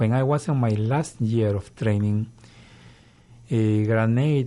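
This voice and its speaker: In a Peruvian accent, a man speaks at a fairly slow pace and medium pitch in a dark, mellow tone. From Peru, Lima. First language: Spanish. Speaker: government agency director. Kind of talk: interview. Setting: radio studio.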